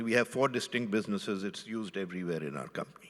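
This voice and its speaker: A man speaks in a bright, sharp tone. His pitch variation is ordinary. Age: 80s+. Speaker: retired business chairman. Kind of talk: fireside chat interview.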